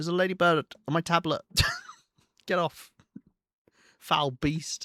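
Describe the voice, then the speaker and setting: A man talks in a high pitch with a bright, sharp tone. His intonation is monotone and flat, and the sound is dry and close with no echo. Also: moderate pace. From southern England. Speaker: video game streamer. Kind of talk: gameplay livestream commentary. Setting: livestream. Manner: casual, chatty.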